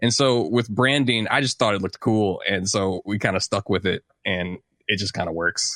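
In an American accent, a man speaks at a fairly low pitch with a bright, sharp tone, ordinary pitch variation and a moderate pace. The recording is very clean with a silent background and a dry, close sound with no echo. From St. Louis, Missouri. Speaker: music producer and composer. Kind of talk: casual interview.

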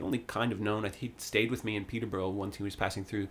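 A man with a Canadian accent talks at a very fast pace. His fairly low voice stays monotone and flat. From Ontario, Canada (Sutton). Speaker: singer-songwriter. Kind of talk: casual interview chat. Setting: studio.

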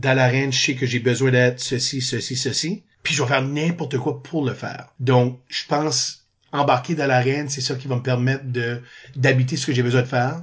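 A man speaks at medium pitch and a moderate pace. His delivery is monotone and flat, somewhat breathy. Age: 40s. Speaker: improviser and drama teacher. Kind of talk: casual chat.

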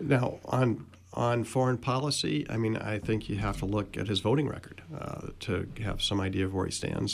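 Vocal fry colors speech delivered at a moderate pace. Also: man. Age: 60s. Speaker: political activist. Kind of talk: radio panel discussion. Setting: radio studio.

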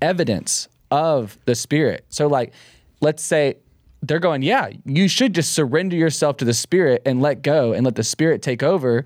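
A man with a Texan accent speaks in a playful tone with ordinary pitch variation and very even loudness. The sound is dry and close with no echo, in a very clean recording with a silent background. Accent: Texan Southern US. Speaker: podcast co-host and worship leader. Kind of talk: casual conversational podcast discussion on faith. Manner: joking, playful.

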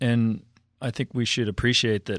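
A man with an American accent is heard dry and close with no echo on a very clean recording with a silent background. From Minneapolis, Minnesota. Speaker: theology professor. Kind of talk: interview. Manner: halting.

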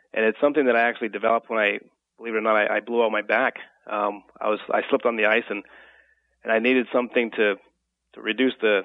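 At a very fast pace, a man delivers his words in a monotone, flat voice. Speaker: fitness expert. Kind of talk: radio interview answers. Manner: halting, filler-heavy.

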